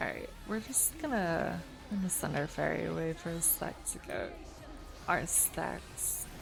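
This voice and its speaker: A woman's rather slow speech, carrying audible room echo. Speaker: video game streamer. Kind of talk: casual chat. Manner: soft-spoken; vocally unemotive, mellow.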